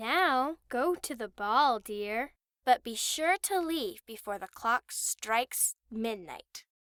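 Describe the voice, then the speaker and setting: Putting on a character voice, a woman talks at a high pitch and a very slow pace. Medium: read story. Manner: warm, gentle.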